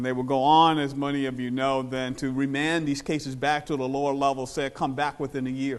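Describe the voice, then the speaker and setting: Delivered at a moderate pace, the speech has an American accent and a monotone, flat intonation. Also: man. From Virginia, US South. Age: 50s. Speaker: historian. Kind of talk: lecture. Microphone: no microphone.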